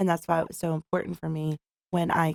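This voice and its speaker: Recorded with a dry, close sound and no echo, a woman speaks in a Philadelphia accent at a fairly low pitch. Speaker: peer specialist in behavioral health department. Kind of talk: interview.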